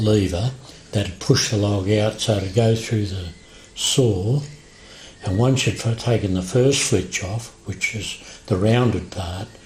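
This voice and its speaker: Over noticeable background noise, a man with an Australian accent speaks at a very slow pace in a fairly low pitch. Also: fairly even intonation. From Western Australia. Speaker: former timber mill worker. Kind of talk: oral history interview answer.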